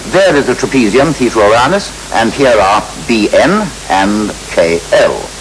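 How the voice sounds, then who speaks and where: Through noticeable background noise, a man speaks at medium pitch with very wide pitch swings. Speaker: astronomer, TV presenter. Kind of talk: TV science programme presenting.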